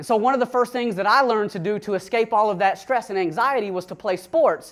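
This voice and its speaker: This man's high-pitched voice varies in pitch in an ordinary way and moves at a moderate pace. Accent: Southern US. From US South, Atlanta, Georgia. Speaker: recovered addict sharing his story. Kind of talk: testimony talk to an audience. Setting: room with an audience.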